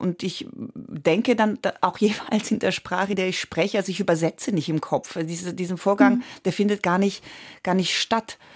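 A woman's medium-pitched voice in an Italian accent, moderate in pace with ordinary pitch variation, on a very clean recording with a silent background. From Switzerland, Italian-speaking Graubünden. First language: Italian (speaking German). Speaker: stage and film actress. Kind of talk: radio interview.

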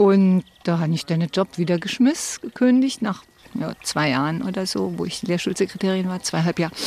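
A woman's plain, everyday voice, medium in pitch, at a moderate pace with ordinary pitch variation. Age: 60s. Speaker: retiree interviewee, former secretary. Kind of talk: interview, personal story.

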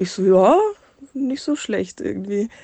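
At a fairly slow pace, a woman speaks in a medium-pitched, dark, mellow tone against a quiet background. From Munich area, Bavaria. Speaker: listener sending a voice message, single mother. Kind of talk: recorded voice message telling a personal story.

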